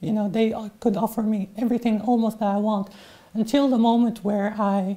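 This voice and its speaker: A woman's somewhat breathy, fairly high voice with a dark, mellow tone and flat, monotone intonation. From Syria. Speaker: refugee. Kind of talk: interview. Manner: halting.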